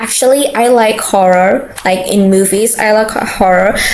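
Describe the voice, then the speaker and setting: Audible room echo and noticeable background noise both come with this woman's speech. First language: not English. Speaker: streamer. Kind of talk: gameplay commentary. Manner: halting.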